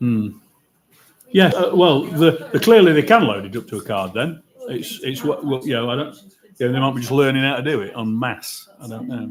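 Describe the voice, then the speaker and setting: Speaking at a fairly quick pace, a man with a medium pitch uses lively intonation and big swings in loudness. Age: 60s. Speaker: football supporters forum member. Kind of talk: casual group discussion. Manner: halting.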